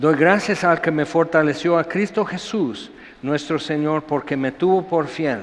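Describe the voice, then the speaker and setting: Very slowly, a man talks in a fairly high-pitched voice. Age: 60s. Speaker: pastor. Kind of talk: sermon. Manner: animated.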